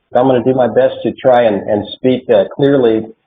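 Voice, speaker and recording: A man at a moderate pace, with a slight Oklahoma accent. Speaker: military support program consultant. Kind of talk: online presentation. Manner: hesitant, many fillers.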